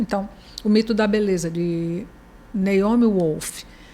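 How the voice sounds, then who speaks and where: The tone is dark and mellow, somewhat breathy. Pitch varies in an ordinary way. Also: woman. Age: 60s. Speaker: journalist, professor and writer. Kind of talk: interview conversation.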